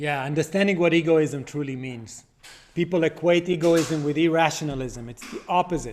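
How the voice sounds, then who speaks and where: A plain, everyday voice: a man at a fairly high pitch and moderate pace, with ordinary pitch variation and big swings in loudness. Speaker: philosophy speaker. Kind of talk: live Q&A discussion. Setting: video call.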